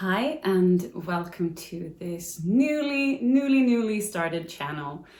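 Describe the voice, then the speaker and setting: A woman's pitch swings very widely. Room echo is audible around her voice. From Sweden. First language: Swedish. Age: 30s. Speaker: book vlogger. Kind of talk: casual vlog talk.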